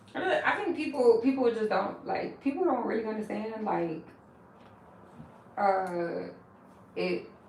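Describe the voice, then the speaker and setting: An animated woman at a fairly slow pace, with very wide pitch swings, audible room echo and noticeable background noise. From US South, Milledgeville, Georgia. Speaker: hair braider / vlogger. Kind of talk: casual chat.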